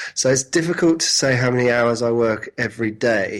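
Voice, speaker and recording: With a British accent, a man speaks at a medium pitch and moderate pace with ordinary pitch variation. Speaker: entrepreneur and web design teacher. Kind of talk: interview. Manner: halting, many restarts.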